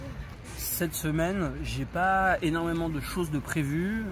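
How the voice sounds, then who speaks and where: Clearly audible background noise and room echo around a man's speech. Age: 30s. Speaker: vlogger. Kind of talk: casual chat. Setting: outdoors. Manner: halting.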